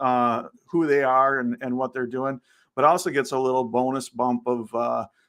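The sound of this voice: This is an unforced reading voice. The text is read aloud.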